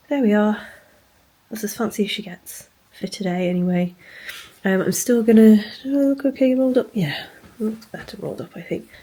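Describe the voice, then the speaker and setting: A woman with a British accent talks at a fairly quick pace in a fairly high, somewhat breathy voice, with ordinary pitch variation and long, frequent pauses. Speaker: bookshop owner and vlogger. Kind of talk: casual vlog talk to camera. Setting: hotel room. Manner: quiet, hushed.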